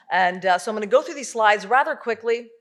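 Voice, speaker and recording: A woman's voice with ordinary pitch variation. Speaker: nonprofit director and panelist. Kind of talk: presentation. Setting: stage with audience. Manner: fast.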